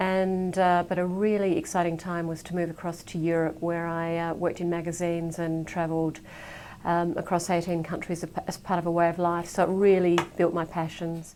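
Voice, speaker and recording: Her dark, mellow voice is fairly low in pitch, and the woman talks at a fairly quick pace in a flat monotone with an Australian accent. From Adelaide, Australia. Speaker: business leader in media research. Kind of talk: casual self-introduction.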